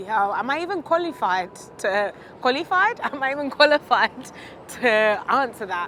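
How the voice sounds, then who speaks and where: With noticeable background noise, a woman with a British accent speaks at a moderate pace, her high voice making very wide pitch swings. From UK. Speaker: interviewee. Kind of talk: interview. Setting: outdoors, walking.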